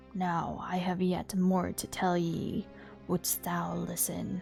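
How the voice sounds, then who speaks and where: A woman puts on a gruff character voice at a very slow pace. Clear music plays in the background. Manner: solemn, theatrical.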